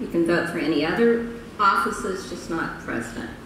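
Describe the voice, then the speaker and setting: Against light background noise and audible room echo, a woman speaks at a moderate pace. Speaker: conference speaker. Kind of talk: public presentation. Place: hall. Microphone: podium.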